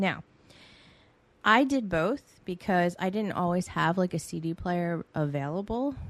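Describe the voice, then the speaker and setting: Speaking at a fairly slow pace, a woman with a fairly low pitch has an unremarkable speaking voice. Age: 40s. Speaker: podcast host. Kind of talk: casual solo monologue.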